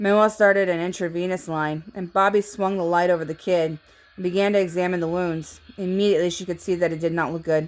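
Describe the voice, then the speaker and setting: A woman talks at a very fast pace. Her intonation is flat and monotone. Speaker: amateur audiobook reader. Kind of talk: reading aloud. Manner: halting.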